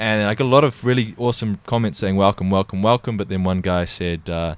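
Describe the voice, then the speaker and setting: Recorded very cleanly against a silent background, a man with a New Zealand accent talks at a very fast pace in a fairly low pitch with ordinary pitch variation. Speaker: podcast host. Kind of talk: casual conversation.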